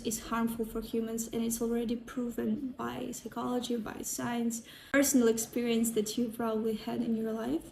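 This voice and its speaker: A woman with a Ukrainian accent and a fairly high pitch speaks in a monotone, flat intonation with hardly any pauses, over noticeable background noise. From Ukraine. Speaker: sound healer and psychology student. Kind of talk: personal talk to camera.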